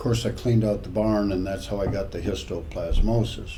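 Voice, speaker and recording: There is audible room echo and noticeable background noise as a man talks fairly quickly. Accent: American. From California. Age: 70s. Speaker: retired father telling life stories. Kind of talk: casual interview. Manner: halting.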